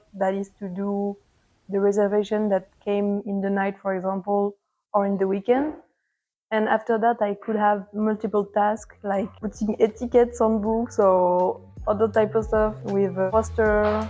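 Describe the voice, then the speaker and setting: With a French accent, a woman talks at a moderate pace in a dark, mellow tone of medium pitch, her intonation monotone and flat, over a quiet background. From France, near Paris. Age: 20s. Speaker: volunteer library assistant. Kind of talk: interview testimony. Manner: hesitant, with fillers.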